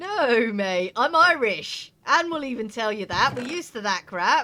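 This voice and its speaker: Speaking fairly slowly, a woman has a high voice with a bright, sharp tone. Her pitch swings very widely. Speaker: video game streamer. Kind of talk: casual gaming livestream commentary. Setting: live stream on Twitch. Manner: chatty, relaxed.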